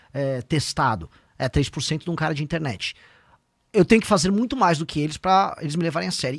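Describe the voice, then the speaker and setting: A man talks at a fairly quick pace in a high pitch. The recording is very clean with a silent background and a dry, close sound with no echo. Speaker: politician, presidential pre-candidate. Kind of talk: podcast interview. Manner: fast.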